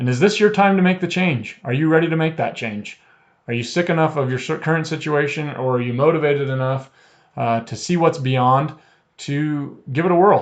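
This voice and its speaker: Against a quiet background, a man with a normal speaking voice and a fairly high pitch talks at a fairly quick pace with ordinary pitch variation. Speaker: trading company presenter. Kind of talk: webinar sales pitch.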